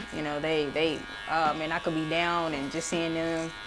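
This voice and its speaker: Over music and audible room echo, a woman talks at a fairly slow pace in a very deep, low pitch with ordinary pitch variation. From Texas, Fort Worth. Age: 30s. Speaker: barber. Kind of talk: casual chat. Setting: barbershop suite.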